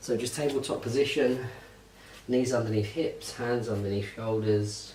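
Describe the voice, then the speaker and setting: A soft-spoken man with a British accent, fairly even intonation and a fairly slow pace, with audible room echo and noticeable background noise. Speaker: fitness instructor. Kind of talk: tutorial. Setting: holiday lodge at night. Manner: quiet, soft-spoken.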